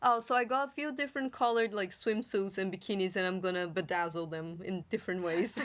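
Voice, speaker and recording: Speaking with a Brazilian accent, a woman at medium pitch races along at a very fast pace with lively intonation and hardly any pauses. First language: Portuguese. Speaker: podcast host. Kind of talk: casual chat.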